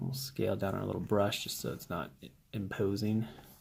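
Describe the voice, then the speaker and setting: Amid noticeable background noise, a man is soft-spoken. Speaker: 3D modeling prop maker. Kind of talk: tutorial. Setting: at home.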